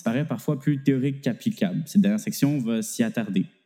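A somewhat breathy man with a dark, mellow tone speaks at a fairly quick pace, his fairly high pitch swinging very widely. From Quebec. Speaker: student podcast host. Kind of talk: scripted narration.

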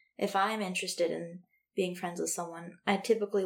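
A woman's normal speaking voice at a moderate pace, medium in pitch with fairly even intonation. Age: 20s. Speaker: college student guest. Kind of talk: casual chat.

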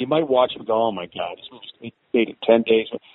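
His pitch is medium and rises and falls in an ordinary way. The man uses a normal speaking voice. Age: 50s. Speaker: film director and producer. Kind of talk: interview.

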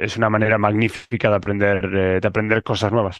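Monotone, flat intonation marks this man's fairly low voice. He keeps a moderate pace. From Spain. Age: 30s. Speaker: scientist. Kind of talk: interview. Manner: hesitant with fillers.

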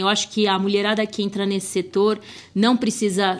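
A woman speaks in a plain, everyday voice. Her pitch is medium and her pace moderate. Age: 30s. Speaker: TV motoring show producer. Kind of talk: interview.

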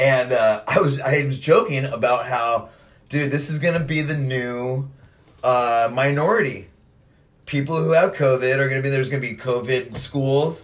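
Speaking at a moderate pace with an American accent, a man has a somewhat breathy voice, medium pitch, and ordinary pitch variation. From California. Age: 40s. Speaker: podcast host. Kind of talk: casual chat. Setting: at the guest's home.

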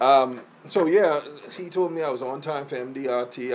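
The speech runs at a moderate pace with noticeable background noise. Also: man. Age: 50s. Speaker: insurance agency owner and sales trainer. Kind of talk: interview.

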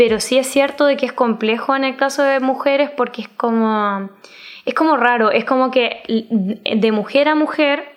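With a Chilean accent, a woman talks fairly slowly in a high voice, her loudness very even and her pitch varying in an ordinary way. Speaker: podcast co-host. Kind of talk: casual chat.

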